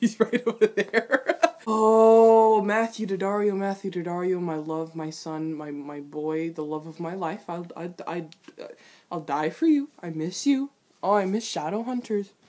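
Lively intonation and a dark, mellow tone mark this woman's voice. She talks at a fairly slow pace with big swings in loudness. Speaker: reaction vlogger. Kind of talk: casual reaction commentary. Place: home room. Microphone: webcam.

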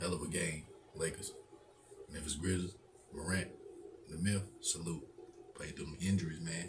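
With noticeable background noise, this somewhat breathy voice moves at a moderate pace in a monotone, flat intonation, broken by long, frequent pauses. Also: man, very deep, low pitch for a man. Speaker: YouTube sports reaction creator. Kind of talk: live sports reaction commentary. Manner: casual, laughing, chatty. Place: home room. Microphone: webcam.

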